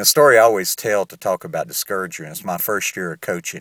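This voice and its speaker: In a Southern US accent, a man speaks with a fairly low pitch, the sound dry and close with no echo on a very clean recording with a silent background. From US South. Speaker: author and podcaster. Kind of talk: casual podcast talk. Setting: recorded at home in Uganda. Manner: conversational, sincere.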